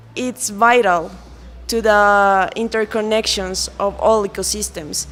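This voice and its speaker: Using fairly even intonation, a woman talks at a medium pitch with a Colombian accent. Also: long, frequent pauses. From Colombia, Andean region. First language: Spanish. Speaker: lawyer. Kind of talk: interview. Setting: event in Quito. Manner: halting, with many fillers.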